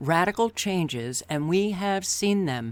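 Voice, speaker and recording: A woman with an American accent, fairly slow, her pitch swinging very widely, on a very clean recording with a silent background. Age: 60s. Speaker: video commentator. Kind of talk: vlog monologue. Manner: emphatic.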